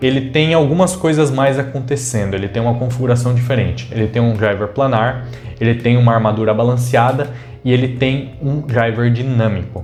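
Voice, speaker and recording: With music in the background and audible room echo, a man speaks at a moderate pace in a medium-pitched voice with fairly even intonation. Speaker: tech reviewer. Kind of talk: product review. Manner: casual.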